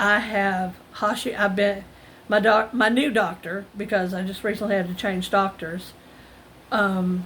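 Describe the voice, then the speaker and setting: Here is a plain, everyday voice, a woman's at medium pitch. She speaks at a fairly slow pace with fairly even intonation. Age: 50s. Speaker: retail self-checkout worker. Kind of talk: casual talk to camera.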